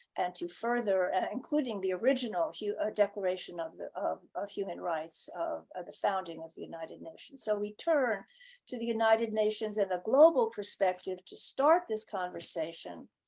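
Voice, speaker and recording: A woman with vocal fry and lively intonation speaks at a medium pitch and moderate pace, with big swings in loudness and hardly any pauses, on a very clean recording with a silent background. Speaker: event moderator. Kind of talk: event introduction. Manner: halting, many fillers.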